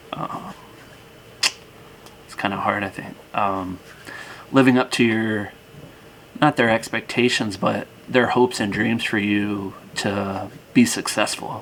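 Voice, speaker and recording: Against noticeable background noise, a man with a fairly low pitch talks at a fairly slow pace with long, frequent pauses. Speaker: reaction video youtuber. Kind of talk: casual reaction commentary. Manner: halting.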